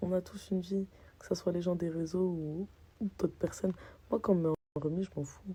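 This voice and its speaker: A woman speaks at a medium pitch in a somewhat breathy, dark, mellow tone. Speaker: social media personality. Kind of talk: casual vlog rant. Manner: animated.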